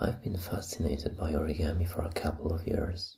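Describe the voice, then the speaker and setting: At a moderate pace, this voice comes through soft-spoken. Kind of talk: ASMR show-and-tell talk.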